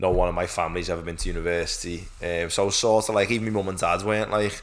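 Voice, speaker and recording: A man speaks very fast in a Liverpool accent, his voice very deep and low. His intonation is fairly even, and the room echo is audible. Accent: Scouse (Liverpool). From Liverpool, Croxteth. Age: 20s. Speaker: podcast co-host, PhD student. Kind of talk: casual chat.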